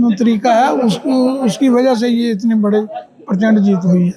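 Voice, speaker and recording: Noticeable background noise sits behind a man speaking. His pitch is extremely high, and his intonation is fairly even. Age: 70s. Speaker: re-elected local councillor. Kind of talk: on-the-spot interview.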